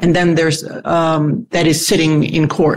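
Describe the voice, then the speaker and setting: In an ordinary speaking voice, a woman talks at a moderate pace with a fairly low pitch. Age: 60s. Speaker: divorced lawyer seeking advice. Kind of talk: advice conversation.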